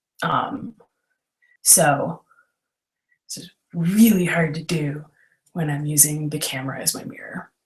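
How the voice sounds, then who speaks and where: With music in the background, a woman with a very deep, low pitch speaks at a fairly slow pace, with ordinary pitch variation, big swings in loudness, and long, frequent pauses. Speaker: makeup tutorial host. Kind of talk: tutorial. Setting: video call livestream. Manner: giggly.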